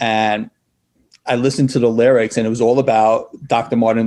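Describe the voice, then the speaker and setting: In a New York accent, a man speaks at a moderate pace. His medium-pitched delivery is a flat monotone. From New York City. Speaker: nonprofit founder and school social worker. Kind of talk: interview. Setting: video call.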